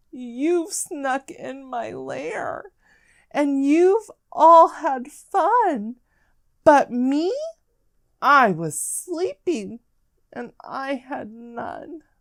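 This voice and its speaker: In a put-on character voice, someone growls at a very slow pace with long, frequent pauses. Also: woman, high pitch for a woman. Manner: growling, grumbling, snarling.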